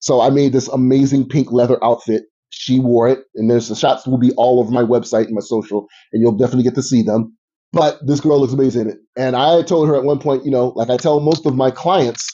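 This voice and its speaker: Very fast and with fairly even intonation, a man talks in an American accent. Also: medium pitch for a man. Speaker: podcast host and fashion designer. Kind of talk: casual chat.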